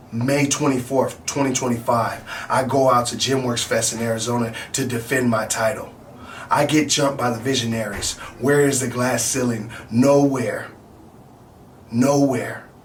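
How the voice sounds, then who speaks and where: The delivery is monotone and flat, at a moderate pace, with noticeable background noise. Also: man, medium pitch for a man. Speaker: pro wrestler. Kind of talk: wrestling promo. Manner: angry.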